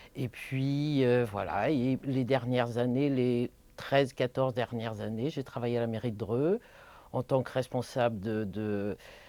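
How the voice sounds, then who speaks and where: A woman with a very deep, low pitch and a dark, mellow tone speaks at a fairly slow pace with ordinary pitch variation. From Paris region, France (born in Martinique). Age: 60s. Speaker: social worker. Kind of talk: personal testimony interview. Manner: hesitant, many filler sounds.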